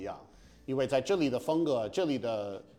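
Music plays behind a man at a medium pitch. He talks at a fairly quick pace with lively intonation. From US Northeast, Massachusetts. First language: English (speaking Chinese). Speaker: stand-up comedian. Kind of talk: casual chat. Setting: apartment room. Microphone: slight room echo.

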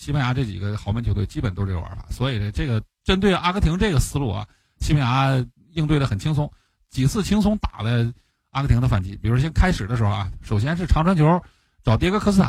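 Somewhat breathy, the voice races at a very fast pace with very wide pitch swings. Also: man. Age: adult with a job. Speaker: football podcast co-host, analyst. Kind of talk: casual chat.

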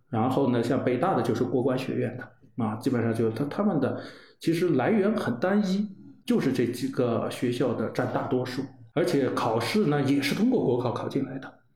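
Audible room echo surrounds a man speaking at medium pitch and a moderate pace with lively intonation. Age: 40s. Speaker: former civil servant and leader's secretary. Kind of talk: casual interview chat. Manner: halting, many fillers.

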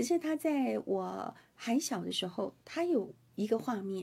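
A woman's voice with a dark, mellow tone, somewhat breathy, moves through very wide pitch swings. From Taiwan. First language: Hakka (speaking Chinese). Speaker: radio host. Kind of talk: interview.

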